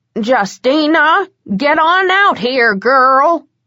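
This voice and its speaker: A woman's bellowing put-on character voice, high-pitched with very wide pitch swings, at a very slow pace. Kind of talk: old-fashioned rural folksy speech. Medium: read story. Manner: bellowing, scolding.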